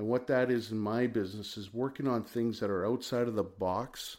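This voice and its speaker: A man's plain, everyday voice, fairly low in pitch, with fairly even intonation and a fairly slow pace. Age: 50s. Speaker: financial consultant and business owner. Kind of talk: casual interview.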